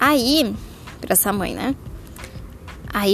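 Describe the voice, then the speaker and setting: A woman speaks at a fairly high pitch. Noticeable background noise runs behind her. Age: 20s. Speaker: mother podcaster. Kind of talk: casual monologue.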